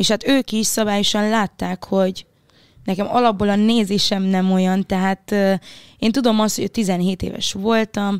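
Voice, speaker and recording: A woman has an unremarkable speaking voice, medium pitch and fairly even intonation at a fairly slow pace. The sound is dry and close with no echo. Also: very clean recording, silent background. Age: 20s. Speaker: singer. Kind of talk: casual chat.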